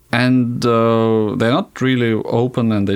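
A man speaks with a Russian accent and a fairly even intonation. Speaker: cosmonaut. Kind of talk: interview.

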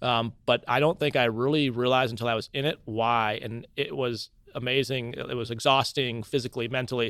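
Speaking at a medium pitch with fairly even intonation, the man keeps a fairly quick pace and hardly pauses at all. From US Midwest, Cedar Falls, Iowa. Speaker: astronaut and test pilot. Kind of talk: interview. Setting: studio.

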